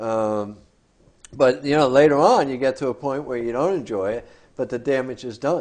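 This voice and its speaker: A man talks in a plain, everyday voice at medium pitch, with ordinary pitch variation. His pace is moderate and the background is quiet. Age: 60s. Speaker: mental health counselor. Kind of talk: casual talk show discussion.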